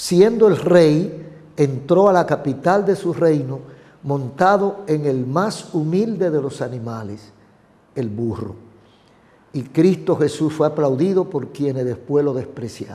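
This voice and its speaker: A man speaks at a very slow pace with a dark, mellow tone and a fairly high pitch. His intonation is lively. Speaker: pastor. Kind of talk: interview.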